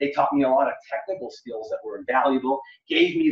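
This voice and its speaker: With a Canadian accent, a man talks in an ordinary speaking voice, his pitch fairly high and his intonation fairly even. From Quebec, Montreal. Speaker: economist. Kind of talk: interview.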